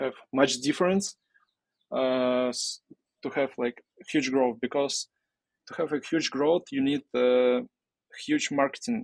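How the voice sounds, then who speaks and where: Fairly slow pace from a man with a Russian accent, fairly high in pitch with ordinary pitch variation, long, frequent pauses, the sound dry and close with no echo. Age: 20s. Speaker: entrepreneur. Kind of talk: interview. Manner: halting.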